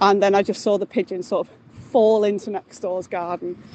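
Noticeable background noise runs behind this recording. A woman speaks at a moderate pace. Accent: Mancunian. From Salford, northern England. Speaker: caller. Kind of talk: voice note story. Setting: outdoors, walking home.

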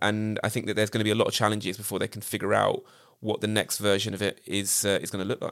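The speaker is a man. He has a British accent. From Britain. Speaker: TV production company founder. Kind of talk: casual chat.

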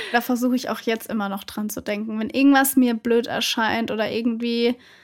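A woman's high-pitched voice at a fairly quick pace, with fairly even intonation. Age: 20s. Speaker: content creator. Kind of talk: casual chat.

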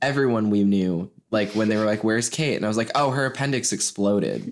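An unremarkable speaking voice from a man at medium pitch, with very even loudness, ordinary pitch variation, a moderate pace and a very clean recording with a silent background. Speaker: podcast co-host. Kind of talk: casual chat.

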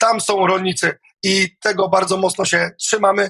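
A man with a Polish accent speaks in a raised, projected voice at a high pitch. His tone is bright and sharp, his intonation monotone and flat. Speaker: farmer and protest leader. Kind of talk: protest speech. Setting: studio interview. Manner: earnest, rallying, emphatic, formal address; uses filler hesitations like 'e'.

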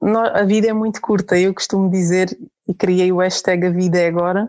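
Here a woman speaks at a medium pitch. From Portugal, with ten teenage years in Germany. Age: 30s. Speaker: pilgrim mother. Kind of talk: interview testimony.

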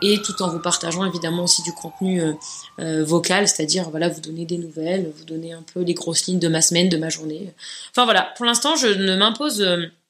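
Over noticeable background noise, a woman with a fairly low pitch speaks at a moderate pace with ordinary pitch variation and big swings in loudness. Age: 30s. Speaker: podcaster and YouTuber. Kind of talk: solo podcast monologue, casual.

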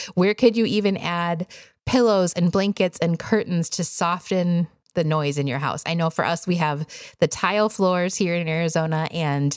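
In an ordinary speaking voice with an American accent, the speaker keeps a moderate pace and ordinary pitch variation, recorded with a dry, close sound and no echo. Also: woman. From US Midwest, Wisconsin. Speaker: podcast host, homeschooling parent. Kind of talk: casual solo podcast talk.

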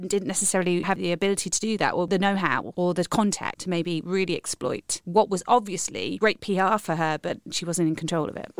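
A woman's fairly low voice at a fairly quick pace, fairly even in intonation, with hardly any pauses and a dry, close sound free of echo. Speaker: podcast host and performer. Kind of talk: scripted narration; interview.

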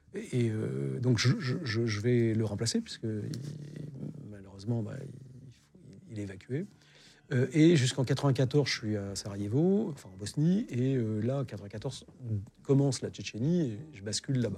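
Very slow with long, frequent pauses, a man speaks in a dark, mellow, somewhat breathy voice at a medium pitch, his intonation lively. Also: big swings in loudness. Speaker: war reporter. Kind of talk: interview testimony.

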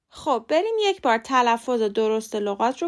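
A woman with a fairly high pitch talks fairly slowly, her intonation lively. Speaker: English pronunciation teacher, podcast host. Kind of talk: tutorial.

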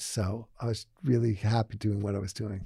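The man's voice is somewhat breathy, with a dark, mellow tone. His recording is very clean, the background silent. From Massachusetts, outside Boston. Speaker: fashion executive and investor. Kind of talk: interview. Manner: halting, many fillers.

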